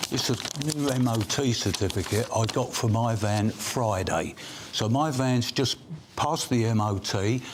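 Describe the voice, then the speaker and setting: A man's medium-pitched voice, with ordinary variation in pitch, comes through noticeable background noise. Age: 70s. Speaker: self-employed builder. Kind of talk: debate interview.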